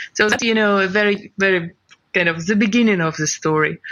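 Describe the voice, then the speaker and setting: The speaker is a woman with a non-native accent. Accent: foreign. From Ukraine. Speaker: crypto company CEO. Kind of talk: interview.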